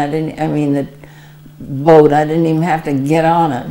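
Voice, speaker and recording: Moderate pace, an American accent, and noticeable background noise. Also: woman. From Arizona, USA. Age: 80s+. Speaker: WWII Red Cross veteran. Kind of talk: interview answer.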